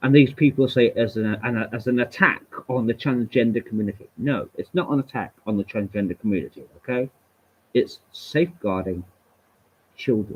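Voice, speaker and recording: At a moderate pace, a man with an English accent speaks at a medium pitch with ordinary pitch variation. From England. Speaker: livestreamer. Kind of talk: solo livestream rant. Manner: animated.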